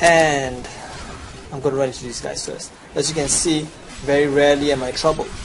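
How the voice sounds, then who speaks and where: A fairly high-pitched man with a Chinese accent, monotone, flat intonation, a fairly quick pace and long, frequent pauses, plus audible room echo and noticeable background noise. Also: big swings in loudness. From China. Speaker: video game guide presenter. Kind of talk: gameplay tutorial.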